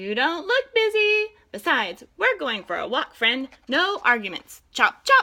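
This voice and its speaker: At a moderate pace, a woman puts on a character voice pitched high. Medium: read story. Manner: eager, bossy.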